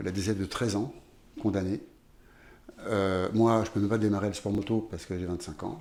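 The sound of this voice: Moving at a fairly quick pace, a man speaks with a fairly low pitch and a slightly mellow tone.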